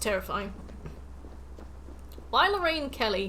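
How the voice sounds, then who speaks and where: Noticeable background noise and audible room echo surround a woman who talks at a fairly quick pace. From England, Nottingham. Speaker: gaming streamer. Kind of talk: casual chat. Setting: live stream.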